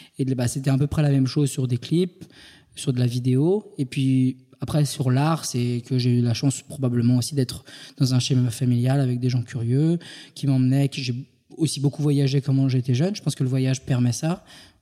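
A man with a medium pitch and a dark, mellow tone speaks at a moderate pace, his intonation fairly even and his loudness very even. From France, Île-de-France. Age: 30s. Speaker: entrepreneur, founder of a creative media company. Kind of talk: interview.

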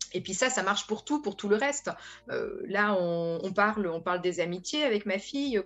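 The speaker has a plain, everyday voice, talking at a moderate pace with ordinary pitch variation. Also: woman. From France. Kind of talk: radio panel discussion.

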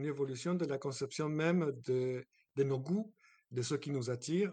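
The man's voice is fairly high in pitch. His pitch varies in an ordinary way. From abroad, not France. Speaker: guest house owner. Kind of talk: interview.

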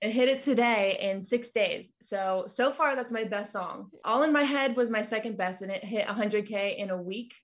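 A woman's fairly high, somewhat breathy voice with an American accent, at a moderate pace with hardly any pauses and ordinary pitch variation, on a very clean recording with a silent background. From California. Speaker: singer-songwriter. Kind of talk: casual interview.

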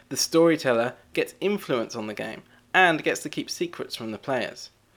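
Here a man speaks in a normal speaking voice, fairly high and at a fairly quick pace, with lively intonation. The recording is very clean, with a silent background. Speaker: board game writer. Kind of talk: scripted-sounding recorded segment.

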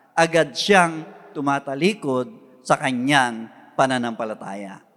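The speaker has a Filipino accent. Noticeable background noise runs under the voice. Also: man. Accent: Filipino English and Tagalog. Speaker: pastor. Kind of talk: sermon preaching. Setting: church. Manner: earnest, exhortative preaching; formal, Tagalog mixed with English phrases.

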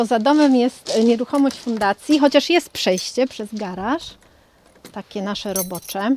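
Fairly high-pitched woman in a normal speaking voice, lively in intonation and fairly slow, with a dry, close sound and no echo. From Poland, Warmia-Masuria region, later Germany. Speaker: sworn translator and foundation founder. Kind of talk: reportage interview.

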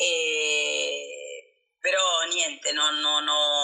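Noticeable noise fills the background. Over it, a woman talks. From Argentina. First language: Spanish (speaking Italian). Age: 50s. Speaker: cook and psychologist. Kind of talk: interview. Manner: halting.

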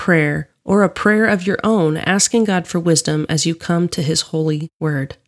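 In a very clean recording with a silent background and a dry, close sound with no echo, a woman with a normal speaking voice talks at a moderate pace and medium pitch, her intonation lively. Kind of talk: guided prayer and devotional reflection prompts. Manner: calm, reverent, measured.

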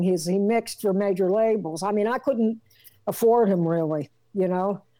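A woman with an American accent talks at a moderate pace in a medium pitch, her tone dark and mellow, with ordinary pitch variation. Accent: East Coast US accent with some Southern tinge. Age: 60s. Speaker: rock singer and drummer. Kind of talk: casual interview. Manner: animated, rambling.

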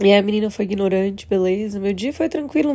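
Her tone is dark and mellow. The woman speaks with lively intonation. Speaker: vlogger and casino worker. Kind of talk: personal vlog monologue. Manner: emotional.

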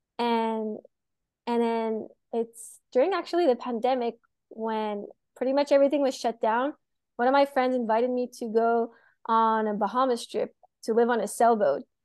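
A woman's high-pitched voice at a moderate pace, fairly even in intonation, broken by long, frequent pauses against a quiet background. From Montreal, Quebec. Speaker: spear fisher and photographer. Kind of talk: interview.

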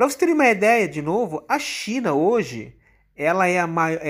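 A man speaks at a moderate pace with a high-pitched voice. The recording is very clean, with a silent background. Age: 50s. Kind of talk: explanatory talk.

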